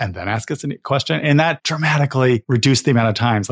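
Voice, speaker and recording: This man's voice is somewhat breathy. He speaks very fast. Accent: American. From US Northeast (Connecticut). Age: 40s. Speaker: podcast host and coach. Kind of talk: interview, casual chat.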